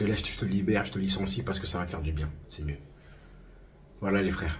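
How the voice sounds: A man uses a put-on character voice with a very deep, low pitch, hoarse and at a very fast pace, over light background noise.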